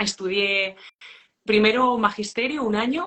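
Here is a woman with an ordinary speaking voice at a medium pitch. She speaks at a fairly slow pace. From Spain, rural León province. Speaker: hospitality business owner. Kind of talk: interview.

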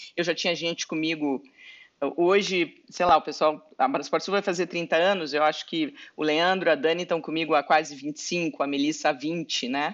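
The woman's pitch is very deep and low. Her intonation is fairly even. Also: moderate pace. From southern Brazil, Pelotas (Rio Grande do Sul). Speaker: lawyer and entrepreneur. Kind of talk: interview.

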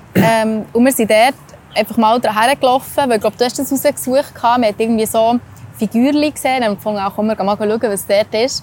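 Speaking fairly quickly with a Swiss accent, a woman keeps a fairly high pitch and fairly even intonation. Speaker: travel podcast host. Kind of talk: casual chat.

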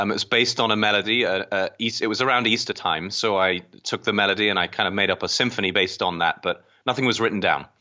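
A man's fairly low voice at a very fast pace, with fairly even intonation and very even loudness. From England. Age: 30s. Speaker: organist. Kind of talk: casual interview.

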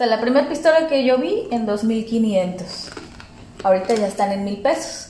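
Noticeable background noise sits under a woman's fairly high voice. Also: lively intonation, moderate pace. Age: young. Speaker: podcast co-host, small business owner. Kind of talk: casual chat. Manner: hesitant.

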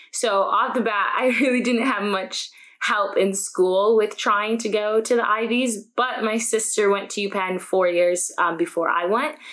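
A woman speaks at a fairly slow pace and fairly high pitch, with hardly any pauses. There is noticeable background noise. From upstate New York, small town near Canadian border. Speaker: college student and YouTuber. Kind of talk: podcast interview.

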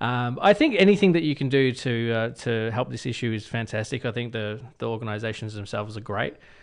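Speaking at a fairly quick pace with hardly any pauses, a man with an Australian accent uses a medium pitch and ordinary pitch variation. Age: 30s. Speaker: radio host. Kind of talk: casual chat.

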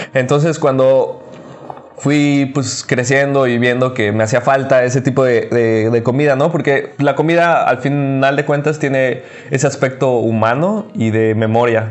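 A man with a Mexican accent at a fairly slow pace, very even in loudness, over noticeable background noise. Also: medium pitch for a man, ordinary pitch variation. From Mexico, Cancún. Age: 30s. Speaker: vegan chef and restaurant owner. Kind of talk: casual interview.

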